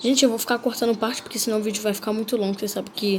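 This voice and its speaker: A woman's voice at a medium pitch. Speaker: gaming youtuber. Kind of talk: gameplay commentary. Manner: animated.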